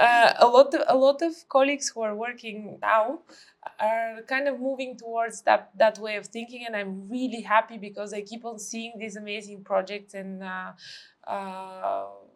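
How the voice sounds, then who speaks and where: At a fairly high pitch, a woman with a Bulgarian accent talks at a moderate pace with ordinary pitch variation and big swings in loudness. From Bulgaria, Sofia. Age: 30s. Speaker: architect. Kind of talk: podcast interview.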